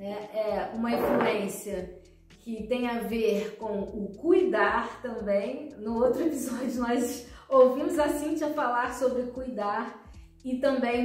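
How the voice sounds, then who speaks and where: With music in the background and audible room echo, a woman in a Rio de Janeiro accent speaks at a very slow pace, her pitch fairly high with ordinary variation. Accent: Brazilian Portuguese, Rio (carioca). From Brazil, Rio de Janeiro. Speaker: speech therapist, podcast co-host. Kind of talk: personal life story on podcast. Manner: halting, many fillers.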